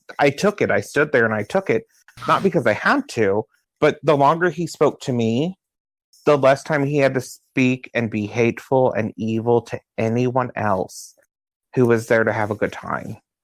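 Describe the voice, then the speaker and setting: Here is a man with a normal speaking voice, medium pitch, ordinary pitch variation and a moderate pace. The recording is very clean with a silent background, dry and close with no echo. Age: 30s. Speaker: drag performer and activist. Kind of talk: interview.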